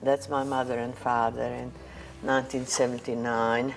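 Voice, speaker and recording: A woman's very deep, low-pitched voice in monotone, flat intonation, with music in the background. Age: 80s+. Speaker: Holocaust survivor. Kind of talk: interview testimony. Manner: hesitant, many fillers.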